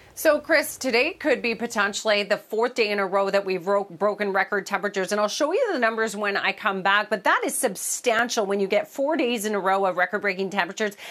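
Ordinary pitch variation marks a woman's speech delivered at a very fast pace. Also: medium pitch for a woman. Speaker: weather presenter. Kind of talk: TV weather forecast. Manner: friendly, relaxed, conversational.

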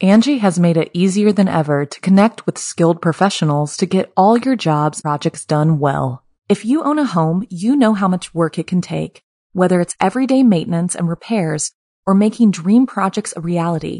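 A woman with a dark, mellow tone and a medium pitch talks at a moderate pace with lively intonation, her voice sounding dry and close with no echo against a quiet background. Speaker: ad voice. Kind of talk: sales pitch, ad read.

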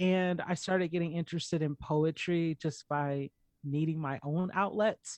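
At a moderate pace, a woman with an ordinary speaking voice talks in a fairly low pitch and fairly even intonation against a quiet background. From US South, Atlanta, Georgia. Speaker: poet and visual artist. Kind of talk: casual interview.

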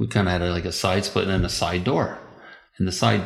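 Fairly even in intonation, a man talks with a very deep, low pitch. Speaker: guest's father. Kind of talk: casual chat.

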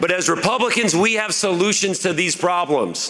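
With a Midwestern US accent, the speaker talks at a moderate pace amid noticeable background noise and audible room echo. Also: man. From rural Indiana, Jennings County. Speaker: political candidate. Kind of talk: campaign speech. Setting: stage with audience.

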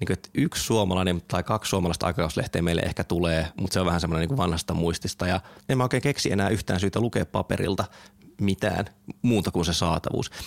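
Delivered at a very fast pace, the voice holds very even loudness with ordinary pitch variation in a dry, close sound with no echo. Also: man, very deep, low pitch for a man. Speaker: podcast host. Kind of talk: casual chat.

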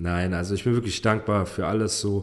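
This man has an ordinary speaking voice with fairly low pitch. He talks at a moderate pace with fairly even intonation. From Heidelberg area, Germany. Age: 30s. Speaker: rapper. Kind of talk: casual chat. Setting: studio.

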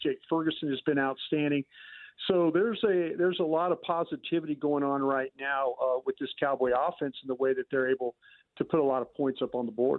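A man speaks at a fairly quick pace with a fairly high pitch. He has an ordinary speaking voice and ordinary pitch variation. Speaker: NFL analyst. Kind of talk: casual sports talk.

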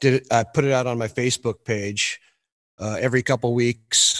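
On a very clean recording with a silent background and a dry, close sound with no echo, a man with a Californian accent speaks at a moderate pace in a medium, monotone, flat pitch. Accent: Californian American English. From Northern California (Cameron Park, near Placerville). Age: 40s. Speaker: singer-songwriter. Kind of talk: casual interview chat.

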